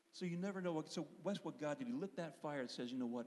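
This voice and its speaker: Very fast and with very wide pitch swings, a man talks in an American accent with a dark, mellow tone. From Pennsylvania, US. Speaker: worship leader and singer. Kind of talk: testimony in church service.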